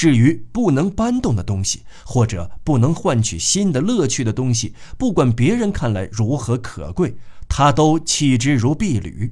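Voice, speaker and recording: A man speaks with vocal fry at a fairly slow pace. His tone is dark and mellow, with very wide pitch swings. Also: medium pitch for a man. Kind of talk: literary audiobook reading, scripted narration of a novel. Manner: measured, steady, formal narrator delivery.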